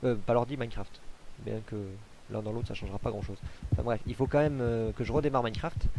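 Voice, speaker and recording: At a very fast pace yet with long, frequent pauses, a man speaks at a medium pitch with a dark, mellow tone and ordinary pitch variation. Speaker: gaming video creator. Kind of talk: Let's Play commentary. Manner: hesitant, many fillers.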